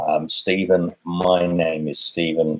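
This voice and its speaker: In a dry, close sound with no echo, a man speaks with an Australian accent. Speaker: cooking channel host. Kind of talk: casual chat.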